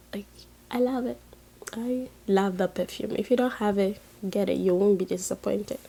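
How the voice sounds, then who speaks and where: Her dark, mellow tone sits at a medium pitch, and the woman moves at a moderate pace with ordinary pitch variation. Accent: Ghanaian. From Ghana, Volta region. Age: 20s. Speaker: beauty and lifestyle youtuber. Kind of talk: casual vlog Q&A. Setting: in bed, late at night.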